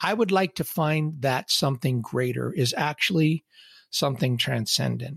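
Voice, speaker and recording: A plain, everyday voice: a fairly high-pitched man talks at a moderate pace with lively intonation and very even loudness, recorded dry and close with no echo in a very clean recording with a silent background. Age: 60s. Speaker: podcast host. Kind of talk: solo podcast monologue.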